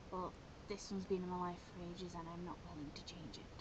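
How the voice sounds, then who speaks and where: A woman speaks quietly. Noticeable background noise runs behind her. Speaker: software tutorial maker. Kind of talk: screen-recorded software tutorial. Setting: low-quality home microphone.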